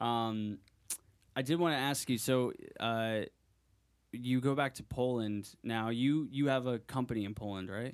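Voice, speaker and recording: Speaking with an American accent at a fairly slow pace, the voice shows ordinary pitch variation and long, frequent pauses. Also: man, medium pitch for a man. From US New England. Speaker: podcast co-host. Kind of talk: casual chat.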